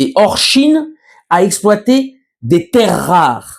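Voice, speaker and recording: Man's high-pitched voice with lively intonation, at a very slow pace. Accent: slight Berry. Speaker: journalist. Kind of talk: news commentary monologue. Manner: hesitant, many fillers.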